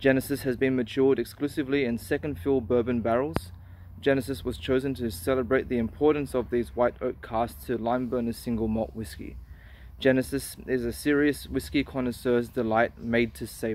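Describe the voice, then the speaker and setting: A man's voice with ordinary pitch variation, dry with no echo, over light background noise. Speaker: whisky reviewer. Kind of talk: casual review vlog. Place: open country. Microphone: phone near.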